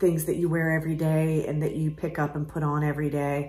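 A woman's somewhat breathy voice with an American accent, a fairly low pitch and monotone, flat intonation. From US South. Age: 40s. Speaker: art gallery owner. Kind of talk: casual talk to camera. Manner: hesitant, many fillers. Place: shop. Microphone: phone near.

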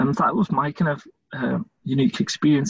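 A man speaks at a fairly quick pace with a Scottish accent and a fairly high pitch. His intonation is lively, and the sound is dry and close with no echo. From Scotland. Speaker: volunteer interviewer for a charity. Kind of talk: interview.

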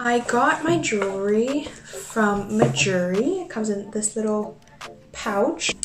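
Clear music plays in the background while a woman speaks at a very slow pace. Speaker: beauty vlogger. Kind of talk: casual vlog tutorial. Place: home room. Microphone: phone near.

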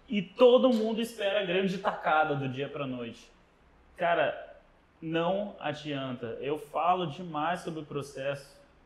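Audible room echo surrounds a man speaking at a fairly slow pace. His voice is high, with lively intonation. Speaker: podcast host. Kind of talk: casual interview. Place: studio. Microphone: lapel.

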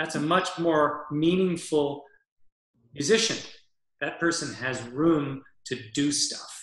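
Speaking with an American accent, a man talks at a very slow pace with long, frequent pauses, in a fairly high pitch with ordinary pitch variation. Audible room echo surrounds his voice over a quiet background. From US Northeast, Massachusetts. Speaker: orchestral clarinetist and mouthpiece maker. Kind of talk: interview conversation. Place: home room. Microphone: webcam.

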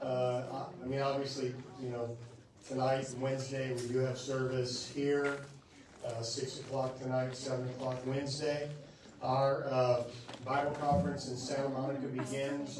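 The speech is fairly slow, with monotone, flat intonation. There is audible room echo and noticeable background noise. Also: man. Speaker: preacher. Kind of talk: church announcements. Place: church. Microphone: camera far.

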